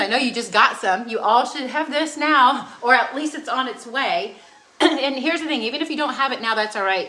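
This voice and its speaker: Talking at a fairly quick pace in an animated tone, a woman with a high voice shows ordinary pitch variation, with audible room echo and noticeable background noise around her. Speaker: cooking demonstrator. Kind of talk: cooking demonstration. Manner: fast.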